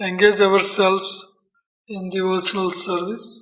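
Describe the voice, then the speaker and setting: In a room with audible echo, a man raises and projects his high-pitched voice. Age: 60s. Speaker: Hare Krishna preacher. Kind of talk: lecture.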